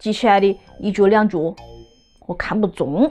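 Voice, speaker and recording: Over faint music in the background, a woman with a Wuhan accent speaks at a fairly slow pace. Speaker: lifestyle vlogger. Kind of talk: casual talk to camera. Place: home room. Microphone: phone near.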